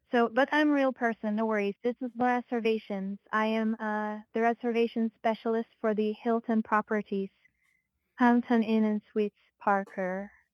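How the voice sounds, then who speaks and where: At a moderate pace, a woman with a fairly high pitch speaks in a monotone, flat intonation, in a very clean recording with a silent background and a dry, close sound with no echo. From Philippines. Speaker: hotel reservation agent. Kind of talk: customer service call. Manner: halting, robotic-sounding.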